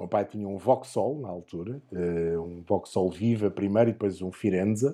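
With a European Portuguese accent, a man speaks in a dark, mellow tone at a fairly low pitch, keeping a moderate pace with hardly any pauses and ordinary pitch variation. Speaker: motorsport commentator. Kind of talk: casual chat.

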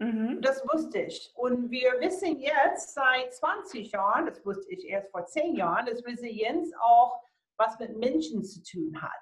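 A woman speaks at a very slow pace in a high pitch. Her voice has very wide pitch swings and big swings in loudness. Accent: American. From USA. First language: English (speaking German). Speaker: motivational speaker and coach. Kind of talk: interview.

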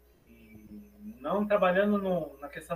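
A man speaks with ordinary pitch variation. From Brazil. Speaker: academic author on African philosophy. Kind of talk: lecture.

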